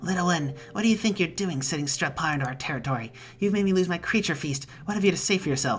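Over clear music in the background, a woman does a put-on character voice at a fairly low pitch and a very fast pace.

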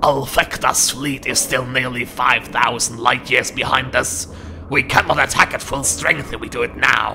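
A man puts on a character voice at medium pitch. He keeps a moderate pace against clear background noise. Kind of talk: dramatic acted dialogue. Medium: audio drama. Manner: formal, deferential. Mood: cautious objection.

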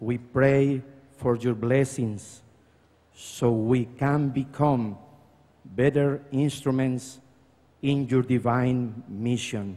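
At a very slow pace, a man talks with fairly even intonation. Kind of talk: formal address read aloud. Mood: reverent, slow, measured. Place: hall. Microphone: podium.

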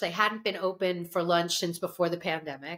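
A woman talks at a fairly quick pace. Her tone is bright and sharp. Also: quiet background. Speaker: food writer podcast co-host. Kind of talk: casual podcast chat. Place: home room.

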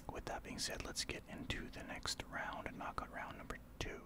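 Someone whispers in a soft-spoken way at a moderate pace. Noticeable background noise sits behind the voice. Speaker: gaming streamer. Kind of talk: gameplay commentary with tips. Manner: soft ASMR whisper over gameplay.

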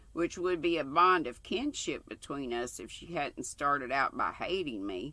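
A woman's bright, sharp voice with very wide pitch swings. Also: dry sound with no echo. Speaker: craft channel host. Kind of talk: reading a book aloud. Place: home room. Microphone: webcam.

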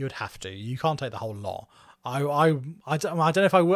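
A man's fairly high voice in a southeast English accent, very fast and with lively intonation. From southeast England, Margate, Kent. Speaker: podcast co-host. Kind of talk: storytelling.

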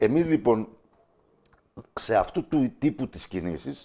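A man with a dark, mellow tone and vocal fry talks at a fairly slow pace. His intonation is lively over a quiet background. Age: 50s. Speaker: local election candidate and teacher; election candidate, teacher. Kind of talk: TV interview. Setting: TV studio. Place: studio. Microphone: lapel.

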